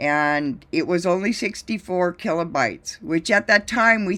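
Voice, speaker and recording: In a very clean recording with a silent background, a woman with an unremarkable speaking voice talks at a moderate pace, medium in pitch and with ordinary pitch variation. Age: 60s. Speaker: drone pilot and video business owner. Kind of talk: presentation.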